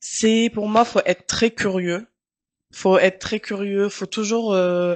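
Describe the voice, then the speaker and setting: Against a quiet background, a woman speaks with an Arabic accent at a very slow pace. Her pitch is medium and her intonation monotone and flat. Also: dry, close sound with no echo. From Tunisia. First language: Arabic (speaking French). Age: 30s. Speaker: journalist. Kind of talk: casual interview.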